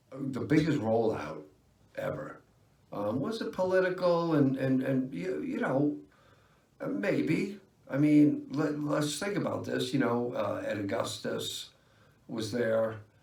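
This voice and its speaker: Audible room echo surrounds a man's voice. He speaks at a very slow pace, with long, frequent pauses. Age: 50s. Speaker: vlogger. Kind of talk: casual vlog monologue. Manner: halting, many fillers.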